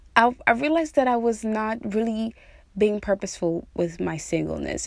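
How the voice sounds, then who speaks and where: A woman talks in a plain, everyday voice at a moderate pace. Her fairly high pitch moves with lively intonation. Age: 30s. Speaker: podcast host. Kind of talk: casual monologue. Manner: casual with frequent fillers.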